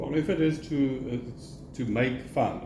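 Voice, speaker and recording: This is a man talking. His voice carries audible room echo. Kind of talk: casual chat.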